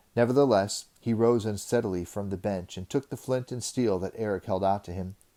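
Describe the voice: Plain reading aloud comes through, its pitch variation ordinary.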